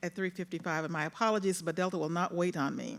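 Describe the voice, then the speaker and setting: A woman with a Mississippi accent is heard in a very clean recording with a silent background. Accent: Southern US (Mississippi). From US South. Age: old. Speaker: retired federal appeals judge, panel moderator. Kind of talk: panel moderation at a conference. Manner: loud.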